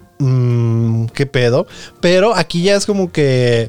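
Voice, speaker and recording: A man speaks with a Mexican accent. His pitch sits in the middle range. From Mexico, Nayarit. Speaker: podcast host. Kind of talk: casual chat. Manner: animated.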